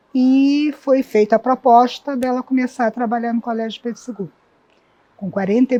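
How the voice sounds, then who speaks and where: A woman speaks in an ordinary speaking voice, fairly high in pitch, at a moderate pace. Her intonation stays fairly even, and the sound is dry and close with no echo. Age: 60s. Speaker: long-serving school staff member. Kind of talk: interview testimony.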